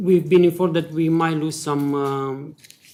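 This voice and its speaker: With a non-native accent, a man speaks at a moderate pace and fairly even intonation. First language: not English. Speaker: charity service user and volunteer. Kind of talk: public hearing testimony. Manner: halting.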